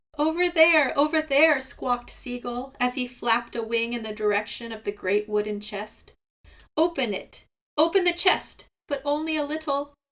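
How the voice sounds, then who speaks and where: A woman puts on a character voice, hoarse and high-pitched, with lively intonation at a moderate pace. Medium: read story. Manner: whining, repetitive.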